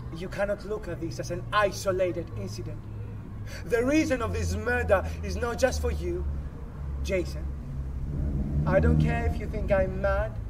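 Noticeable background noise sits behind a man speaking at a very deep, low pitch. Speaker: actor performing monologue. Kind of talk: rally speech. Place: open country.

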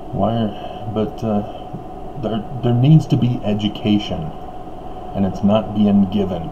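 A man with an American accent speaks very slowly at a fairly low pitch, his pitch varying in an ordinary way over noticeable background noise. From Utah, US. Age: 50s. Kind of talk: monologue commentary. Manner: casual, halting with fillers. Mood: critical, earnest. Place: home room. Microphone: webcam.

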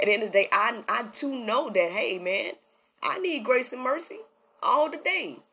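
A woman uses a raised, projected voice at a high pitch, with very wide pitch swings. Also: moderate pace. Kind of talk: casual devotional talk. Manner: casual and chatty. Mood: reflective, mildly incredulous.

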